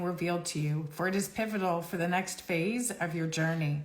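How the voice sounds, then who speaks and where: The woman's voice is fairly low in pitch and somewhat breathy. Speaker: psychic card reader. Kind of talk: live stream card reading. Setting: Instagram live stream. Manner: fast.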